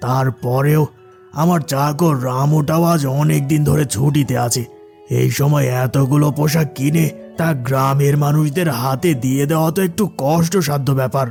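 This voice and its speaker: Over clear music in the background, a man does a cartoonish character voice at a fairly high pitch and moderate pace. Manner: patronizing, uses familiar address to inferiors.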